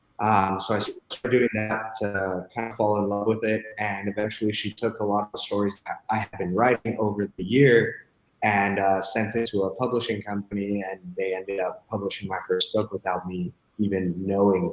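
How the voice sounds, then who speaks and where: Flat and monotone, a man with a fairly low pitch talks at a moderate pace. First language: Spanish. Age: 20s. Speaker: real estate entrepreneur. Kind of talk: podcast interview.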